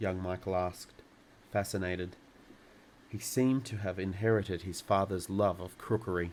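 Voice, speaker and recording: A man speaks at a moderate pace in a very deep, low voice, with fairly even intonation, a calm tone and long, frequent pauses. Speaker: storyteller. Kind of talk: children's book reading. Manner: calm, relaxing.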